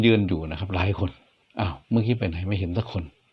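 Somewhat breathy, a man speaks in a fairly low pitch with fairly even intonation. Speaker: ghost story narrator. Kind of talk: ghost story narration.

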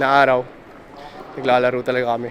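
A man speaks over noticeable background noise. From Philippines, Tumauini area (Isabela). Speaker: vlogger. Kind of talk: casual vlog narration.

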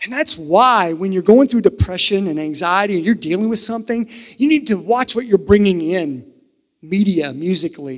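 Over a quiet background, a high-pitched man with an American accent talks with lively intonation. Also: moderate pace. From US South, eastern Kentucky (Harlan County); US South. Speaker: pastor. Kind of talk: sermon. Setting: church with live audience, also streamed. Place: church. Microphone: handheld.

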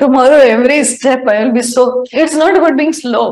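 A woman at a moderate pace with ordinary pitch variation over a quiet background. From India. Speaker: spiritual teacher. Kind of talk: spiritual talk mixing Hindi and English. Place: home room. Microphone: lapel.

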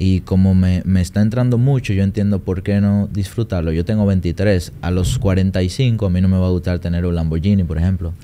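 At a moderate pace, a man speaks in a very deep, low voice with a dark, mellow tone and fairly even intonation. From Dominican Republic. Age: 20s. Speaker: trader and trading mentor; podcast guest. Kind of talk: interview. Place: studio. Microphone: studio mic.

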